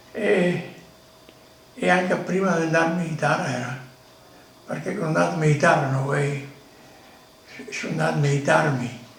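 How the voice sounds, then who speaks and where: A man's fairly high-pitched voice with a Venetian accent, at a moderate pace with ordinary pitch variation and long, frequent pauses, amid noticeable background noise and audible room echo. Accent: Venetian dialect Italian. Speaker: retired emigrant miner. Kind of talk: life story interview. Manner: halting.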